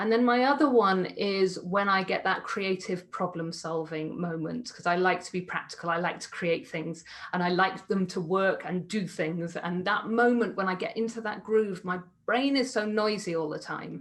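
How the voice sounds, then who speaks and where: At a moderate pace and with hardly any pauses, a woman talks in a normal speaking voice. Her pitch is medium, with ordinary variation. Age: 40s. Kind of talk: panel talk.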